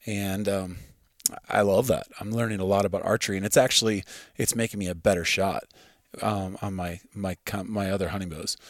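A man's fairly low voice in a Midwestern American accent, flat and monotone, at a fairly quick pace, on a very clean recording with a silent background. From US Midwest, farm. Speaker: hunter and archer. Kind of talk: casual chat. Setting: at his home.

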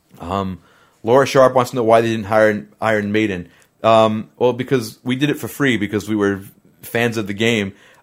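A man's ordinary speaking voice at medium pitch, with fairly even intonation and a moderate pace, on a very clean recording with a silent background. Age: 30s. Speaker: musician and livestream host. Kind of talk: casual livestream Q&A. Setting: live video stream.

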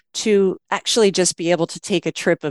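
With an American accent, a woman is heard in a dry, close sound with no echo in a very clean recording with a silent background. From US West Coast, Los Angeles. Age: 50s. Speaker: music fan and traveller. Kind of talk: casual interview.

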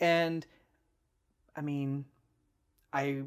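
A man's fairly high voice with an American accent and fairly even intonation, in a very clean recording with a silent background. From US Midwest, Cleveland, Ohio. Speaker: engineer, Coast Guard veteran, new father. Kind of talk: casual chat.

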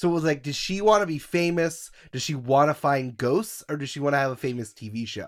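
The recording is very clean with a silent background, and a man talks at a fairly quick pace with ordinary pitch variation. His is a plain, everyday voice. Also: fairly high pitch for a man, hardly any pauses. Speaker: Scooby-Doo fan guest. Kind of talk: casual chat.

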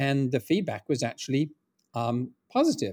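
A man speaks with an English accent at a moderate pace and a medium pitch. The recording is very clean, with a silent background. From England. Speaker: founder of a script preservation project. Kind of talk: interview conversation. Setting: call.

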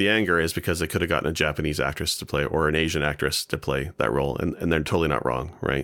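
Over a silent background in a very clean recording, a man with a very deep, low pitch and a bright, sharp tone speaks at a very fast pace with hardly any pauses, ordinary pitch variation and vocal fry. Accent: Canadian. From Ontario, Canada. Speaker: podcast guest. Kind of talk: casual chat.

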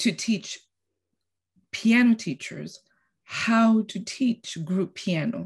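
A woman speaks at a very slow pace with long, frequent pauses, her fairly high voice somewhat breathy. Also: ordinary pitch variation. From Costa Rica. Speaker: piano teacher. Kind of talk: casual interview.

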